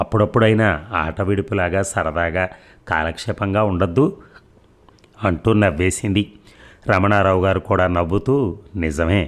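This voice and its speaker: A man speaks with a very deep, low pitch and ordinary pitch variation. His loudness stays very even. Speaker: audiobook narrator. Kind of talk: reading aloud.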